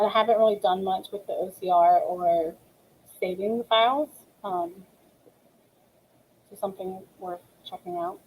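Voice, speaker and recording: Using long, frequent pauses, a woman speaks at a moderate pace and medium pitch with fairly even intonation. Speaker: ESL teacher. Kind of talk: webinar tutorial. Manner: many filler ums.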